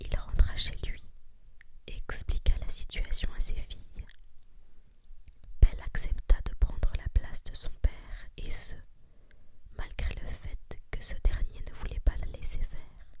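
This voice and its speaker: Whispering very slowly, the speaker uses a calm, soothing tone. Long, frequent pauses break up the speech. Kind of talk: whispered ASMR story reading. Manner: whispered, calm, soothing.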